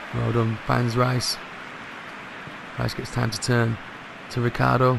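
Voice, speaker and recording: A man speaks quietly at a fairly slow pace. There is audible room echo and noticeable background noise. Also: medium pitch for a man. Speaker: gaming youtuber. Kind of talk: live gameplay commentary. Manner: animated.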